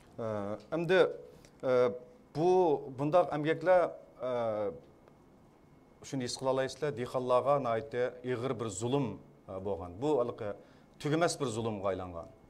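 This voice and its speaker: With a Xinjiang accent, the speaker talks at a moderate pace with long, frequent pauses, and audible room echo surrounds the voice. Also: man, medium pitch for a man. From Kashgar, East Turkestan (Xinjiang). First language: Uyghur. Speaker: poet and film director. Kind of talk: press conference testimony. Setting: press conference. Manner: halting.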